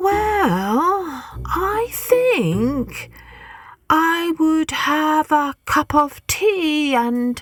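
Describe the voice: A woman's put-on character voice, high-pitched and fairly bright, very slow, with big pitch swings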